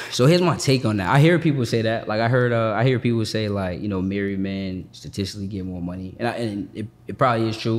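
A man with an American accent, fairly low in pitch, very fast, with ordinary pitch variation and hardly any pauses. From Boston, Massachusetts. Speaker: credit and business funding coach. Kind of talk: casual interview.

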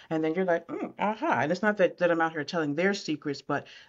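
A woman with an American accent speaks at a fairly low pitch in an ordinary speaking voice. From upstate New York (Syracuse). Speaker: communication coach. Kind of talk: interview.

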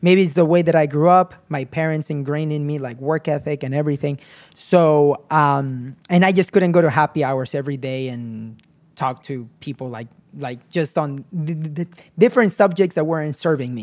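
An ordinary speaking voice moves at a moderate pace with ordinary pitch variation and big swings in loudness on a very clean recording with a silent background. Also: man, fairly high pitch for a man. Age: 30s. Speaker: real estate agent and investor. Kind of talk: interview.

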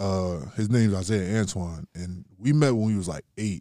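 An ordinary speaking voice from a man, fairly low in pitch, with lively intonation at a moderate pace, in a dry, close sound with no echo. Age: 20s. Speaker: rapper. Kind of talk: casual chat.

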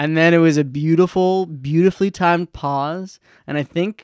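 In a dry, close sound with no echo, a man with a plain, everyday voice and fairly high pitch talks at a moderate pace with ordinary pitch variation. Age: 20s. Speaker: podcast host. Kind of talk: casual chat.

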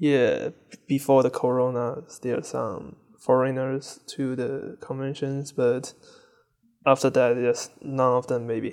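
With a Chinese accent, a man speaks at a very slow pace. His medium-pitched voice has monotone, flat intonation. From China. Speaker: furry fan and photographer. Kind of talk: interview.

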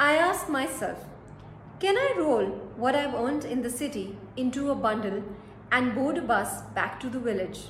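In an Indian accent, a woman with a high-pitched voice speaks with lively intonation, a dramatic tone and long, frequent pauses over noticeable background noise. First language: Hindi. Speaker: storyteller and narrator. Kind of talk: dramatic first-person narration of a short story, read as a paan-shop seller. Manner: reflective, brooding, measured pace; dramatic, wistful, slow deliberate delivery with pauses.

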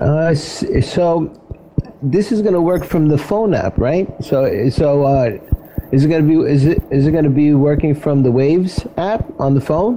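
A man with a fairly high voice speaks at a fairly slow pace and very even loudness over noticeable background noise. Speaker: radio host. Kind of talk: casual interview.

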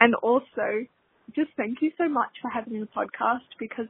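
A woman talks at a fairly high pitch. She has an Australian accent. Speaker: listener leaving a voicemail. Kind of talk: voicemail message.

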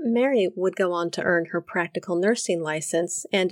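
A woman speaks in an ordinary speaking voice at medium pitch. Her intonation is lively. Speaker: podcast narrator. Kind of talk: true-crime narration. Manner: measured, storytelling tone; wry, personal, conversational.

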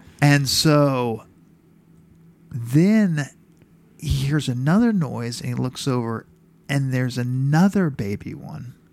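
At a very slow pace with long, frequent pauses, a man with an American accent speaks at a medium pitch and ordinary pitch variation. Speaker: podcast co-host. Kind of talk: casual chat.

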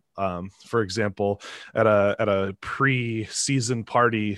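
In a dry, close recording with no echo and a quiet background, a man with an American accent and an unremarkable speaking voice talks at a fairly low pitch with fairly even intonation. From Minnesota (Twin Cities suburbs). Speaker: professional drone racer. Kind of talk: casual interview.

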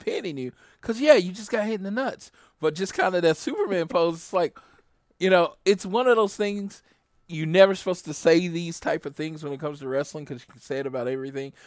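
A man with a high pitch, an animated tone and a fairly quick pace. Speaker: podcast host. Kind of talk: casual chat.

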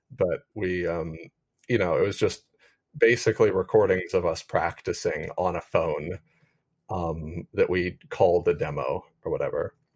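Speaking with an American accent, a man takes a fairly slow pace. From US (family in Alabama). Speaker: musician. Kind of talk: interview conversation.

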